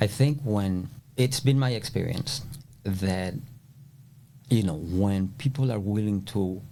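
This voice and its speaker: With a Spanish accent, a man speaks fairly slowly in a fairly low pitch, with a dark, mellow tone and ordinary pitch variation. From El Salvador. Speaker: flooring contractor. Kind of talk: podcast interview answer.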